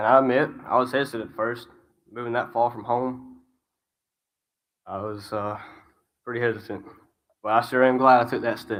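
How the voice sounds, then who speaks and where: A speaker with a strong Alabama accent talks at a moderate pace in a flat monotone, leaving long, frequent pauses. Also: man, medium pitch for a man. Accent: strong Alabama Southern. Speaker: graduating student. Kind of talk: graduation speech.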